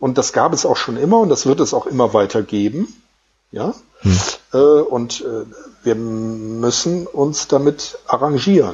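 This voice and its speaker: A man at a fairly high pitch, with very wide pitch swings and a very slow pace. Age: 50s. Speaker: streak runner and author. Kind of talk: interview.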